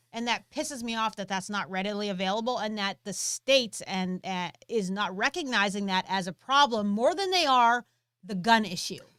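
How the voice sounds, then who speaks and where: In a very clean recording with a silent background, a woman speaks loudly at a moderate pace, her bright, sharp tone at a medium pitch with ordinary variation. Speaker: gun training channel co-host. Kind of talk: live stream Q&A chat. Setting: live stream.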